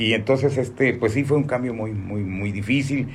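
The room echo can be heard. A man talks fairly quickly. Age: 60s. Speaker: radio announcer. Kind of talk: interview.

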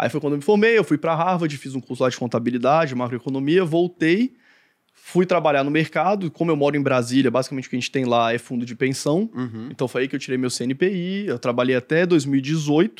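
Against a quiet background, a man with an ordinary speaking voice, pitched fairly high, talks at a fairly quick pace with ordinary pitch variation. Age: 30s. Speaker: investment analyst and content creator. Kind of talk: casual chat.

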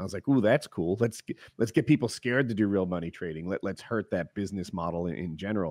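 Speaking at a very fast pace with lively intonation, a man with an American accent and a fairly low pitch is heard in a very clean recording with a silent background and a dry, close sound with no echo. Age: 40s. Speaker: podcast host and gamer. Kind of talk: casual chat.

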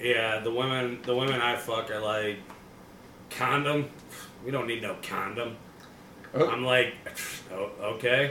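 A man's medium-pitched, monotone, flat delivery at a fairly slow pace, with long, frequent pauses and noticeable background noise. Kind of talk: stand-up comedy.

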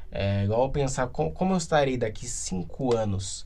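A man's dark, mellow voice with audible room echo. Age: 20s. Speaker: podcaster. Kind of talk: casual solo monologue.

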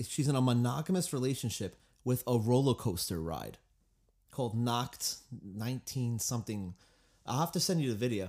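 With a Long Island accent, a man at medium pitch speaks at a moderate pace with lively intonation and long, frequent pauses, on a very clean recording with a silent background. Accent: Long Island New York. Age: 20s. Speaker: musician and guitar teacher. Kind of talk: casual podcast chat.

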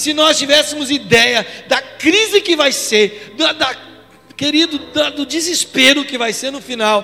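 A man speaks at a fairly slow pace in a raised, projected voice with an extremely high pitch and ordinary pitch variation, over noticeable background noise. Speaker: pastor. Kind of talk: sermon. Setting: church. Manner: animated.

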